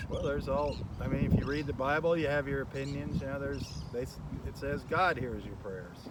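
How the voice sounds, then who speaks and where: The speech has ordinary pitch variation and hardly any pauses. Noticeable background noise runs underneath. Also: man, fairly high pitch for a man, fairly quick pace. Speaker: local TV host. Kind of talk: conversation. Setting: outdoors.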